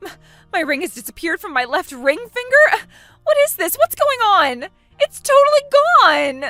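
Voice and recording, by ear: Over faint music in the background, a woman uses a put-on character voice at an extremely high pitch, bright and sharp in tone, with big pitch swings at a moderate pace.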